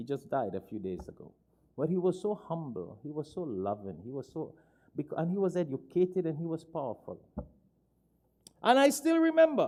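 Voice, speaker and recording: A man with a fairly high pitch and a dark, mellow tone speaks at a moderate pace, his pitch swinging very widely between long, frequent pauses. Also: big swings in loudness. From Trinidad. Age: 60s. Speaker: Islamic preacher. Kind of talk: sermon.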